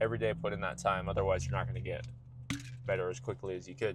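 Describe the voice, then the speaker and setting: This man has a fairly low voice with vocal fry. His pitch swings very widely. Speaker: vlogger and musician. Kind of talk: casual monologue vlog. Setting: in a car. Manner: fast, talks over himself.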